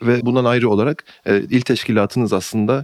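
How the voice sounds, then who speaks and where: A man is recorded very cleanly against a silent background, the sound dry and close with no echo. His pitch varies in an ordinary way. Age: 20s. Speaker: podcast host and editor. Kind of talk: interview.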